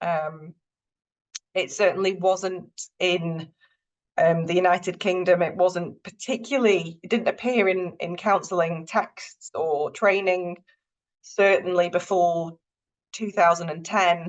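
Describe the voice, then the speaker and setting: Speech comes at a fairly slow pace with a Northern English accent. The intonation stays fairly even. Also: woman, medium pitch for a woman. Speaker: university lecturer, counselling psychologist. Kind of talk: lecture.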